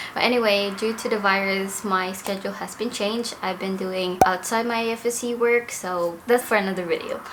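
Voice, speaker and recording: Against noticeable background noise and audible room echo, a woman speaks at a moderate pace. Her medium pitch has fairly even intonation. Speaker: air force member, vlogger. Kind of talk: casual vlog talk.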